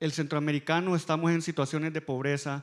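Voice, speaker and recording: In a very clean recording with a silent background, a man with a Salvadoran accent speaks at a fairly quick pace and fairly high pitch with monotone, flat intonation. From El Salvador. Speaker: fintech company executive. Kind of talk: panel discussion.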